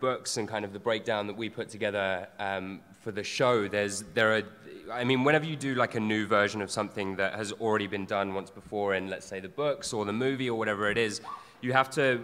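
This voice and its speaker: A man with a British accent talks at a fairly quick pace. His tone is bright and sharp, his pitch fairly low, with ordinary pitch variation. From Britain. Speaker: actor. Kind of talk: panel talk. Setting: stage with audience. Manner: halting.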